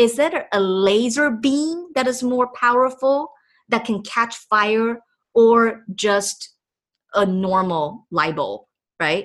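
A woman speaks at a very slow pace in a Chinese accent. Her pitch is fairly high and her intonation lively. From Taiwan (Taipei). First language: Mandarin Chinese. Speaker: podcast host, entrepreneur coach. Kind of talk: motivational monologue. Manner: animated.

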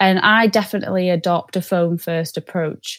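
Recorded very cleanly against a silent background, a woman talks at a fairly slow pace. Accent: Mancunian. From Manchester, northern England. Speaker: sales development rep. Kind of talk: podcast interview.

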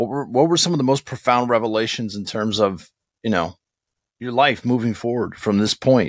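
A man at a moderate pace, medium in pitch with ordinary pitch variation, on a very clean recording with a silent background. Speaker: podcast co-host, radio veteran and audiobook narrator. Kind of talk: casual podcast interview. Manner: animated, enthusiastic.

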